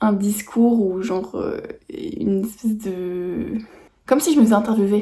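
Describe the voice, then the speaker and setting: Somewhat breathy and fairly high, this woman's voice has a dark, mellow tone. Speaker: vlogger. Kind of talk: vlog monologue. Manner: hesitant, many fillers.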